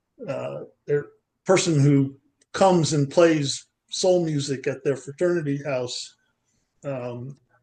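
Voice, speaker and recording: A man with an American accent speaks very slowly, leaving long, frequent pauses. His voice is fairly high in pitch with a dark, mellow tone and fairly even intonation. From US Northeast, Long Island, New York. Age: 70s. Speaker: poetry group participant. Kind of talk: casual chat. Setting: video call. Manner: halting, many fillers and repeats.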